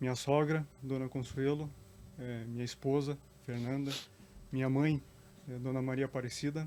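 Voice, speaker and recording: A dark, mellow tone comes with monotone, flat intonation and long, frequent pauses. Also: man, medium pitch for a man, moderate pace. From Curitiba, southern Brazil. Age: 40s. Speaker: public servant and council candidate. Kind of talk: interview.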